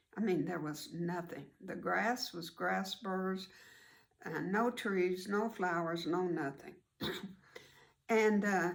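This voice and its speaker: Speaking at a very slow pace, a woman shows vocal fry. Her pitch is medium with ordinary variation. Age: 80s+. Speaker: storytelling grandmother. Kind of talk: casual talk to camera. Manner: warm, friendly.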